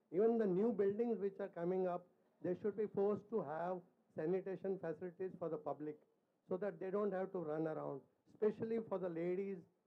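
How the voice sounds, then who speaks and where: A man speaks at a fairly quick pace. His pitch is high. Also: fairly even intonation. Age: 70s. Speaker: chartered accountant asking a question. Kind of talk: audience question at public forum.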